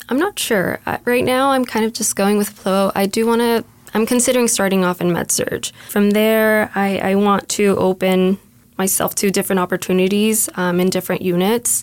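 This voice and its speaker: This woman talks at a moderate speed, her pitch medium and its variation ordinary. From US, Mexican-American. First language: Spanish. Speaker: nursing student. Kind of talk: casual interview conversation. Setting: studio. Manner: hesitant, filler words.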